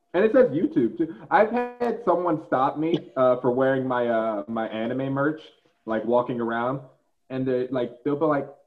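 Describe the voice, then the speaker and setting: In a plain, everyday voice, a man speaks at a fairly slow pace with fairly high pitch and lively intonation. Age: 20s. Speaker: cosplayer and YouTuber. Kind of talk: casual chat.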